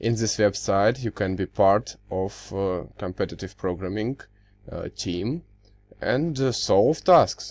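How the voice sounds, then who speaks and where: Speaking very slowly against a quiet background, a man with a Russian accent uses a fairly low pitch and lively intonation. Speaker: university student. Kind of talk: tutorial. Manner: halting, many fillers.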